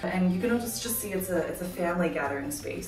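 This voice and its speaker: A woman is speaking in a room with audible echo. Faint music plays in the background. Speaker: vlogger giving a house tour. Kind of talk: casual vlog chat. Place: home room.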